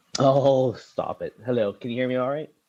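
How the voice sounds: A man's raspy, dark and mellow voice at medium pitch, moderate pace and ordinary pitch variation.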